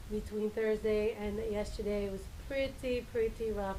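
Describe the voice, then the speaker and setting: Audible room echo follows a woman who speaks at a fairly slow pace and a fairly high pitch. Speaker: realtor. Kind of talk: live stream talk. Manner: hesitant, many fillers.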